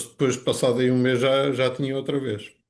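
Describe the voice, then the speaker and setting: A man is talking. His pitch falls in the medium range. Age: 60s. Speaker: customer giving testimonial. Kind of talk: testimony. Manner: halting.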